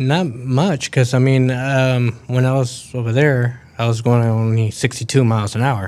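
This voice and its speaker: An ordinary speaking voice from a man at medium pitch, with fairly even intonation and hardly any pauses. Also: moderate pace. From Mexico, raised in Texas. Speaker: truck driver. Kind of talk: interview, casual chat. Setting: studio.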